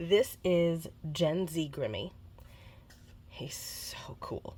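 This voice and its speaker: Her fairly low voice has a dark, mellow tone, and the woman speaks with lively intonation. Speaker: papercrafting video creator. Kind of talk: crafting tutorial. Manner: casual with filler words.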